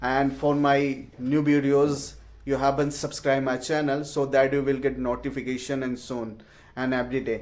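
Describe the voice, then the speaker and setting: Speaking with an Indian accent, a man keeps a moderate pace. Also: medium pitch for a man. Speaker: English learner vlogger. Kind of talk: casual vlog. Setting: at home. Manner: halting.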